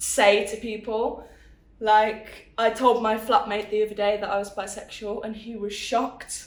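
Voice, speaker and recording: Speaking with a Birmingham accent at a moderate pace, a woman with a fairly high pitch is heard through audible room echo and noticeable background noise. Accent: Brummie. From Birmingham, England. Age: 20s. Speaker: interviewee. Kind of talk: testimony.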